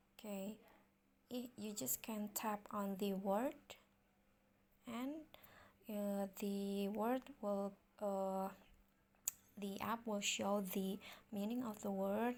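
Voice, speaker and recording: A woman with an Indonesian accent, medium pitch, fairly even intonation and a very slow pace. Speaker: tutorial youtuber. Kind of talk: tutorial. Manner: halting, many fillers.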